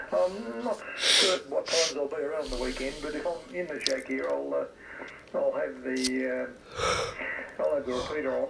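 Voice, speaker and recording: Noticeable background noise around a man's voice, moving at a moderate pace. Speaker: amateur radio operator. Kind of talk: casual radio chat. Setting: radio shack at home.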